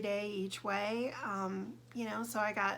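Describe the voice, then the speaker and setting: In an American accent, a woman speaks at medium pitch with a bright, sharp tone and ordinary pitch variation, with audible room echo. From Southern California. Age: 60s. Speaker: vlogger. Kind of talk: personal vlog monologue. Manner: hesitant, many fillers.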